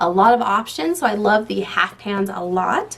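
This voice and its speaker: Noticeable background noise surrounds a woman speaking at a medium pitch. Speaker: beauty YouTuber. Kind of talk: casual product review. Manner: fast; animated.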